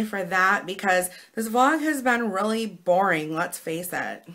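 With a bright, sharp tone, a woman speaks at a fairly slow pace and lively intonation.

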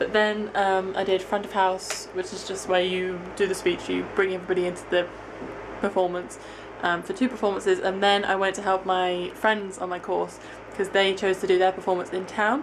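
A woman at a moderate pace, flat and monotone, with noticeable background noise. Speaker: student vlogger. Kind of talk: casual vlog chat. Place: home room. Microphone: phone near.

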